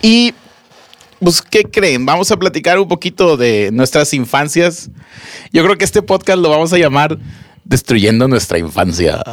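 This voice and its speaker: Speaking at a fairly slow pace with long, frequent pauses, a man uses a fairly high pitch that swings very widely. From Monterrey, Nuevo León, Mexico. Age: 30s. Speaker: podcast co-host. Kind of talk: casual chat.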